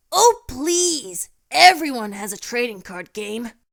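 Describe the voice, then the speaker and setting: A female-sounding put-on character voice speaks at a fairly slow pace with a high pitch and very wide pitch swings. The recording is very clean, with a silent background. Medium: audio drama.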